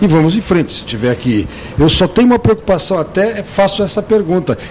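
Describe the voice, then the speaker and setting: Talking at a fairly quick pace with lively intonation, a man with a high pitch is heard over noticeable background noise. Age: 60s. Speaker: TV commentator. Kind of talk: TV interview.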